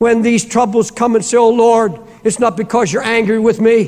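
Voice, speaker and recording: A man with an American accent and an extremely high pitch, over a quiet background. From United States. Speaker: preacher, pastor. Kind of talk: sermon, preaching to a congregation. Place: church. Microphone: lapel.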